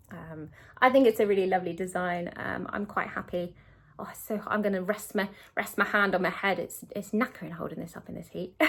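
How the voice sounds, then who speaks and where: Recorded very cleanly against a silent background, a woman speaks at a fairly quick pace and medium pitch. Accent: British. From UK. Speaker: cross-stitch video creator. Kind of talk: casual chat. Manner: fast; hesitant, many fillers.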